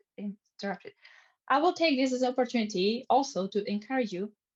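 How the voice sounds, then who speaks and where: A woman's somewhat breathy voice at a fairly quick pace with lively intonation, dry and close with no echo. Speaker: social media trainer. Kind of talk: online training webinar. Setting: video call. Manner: fast.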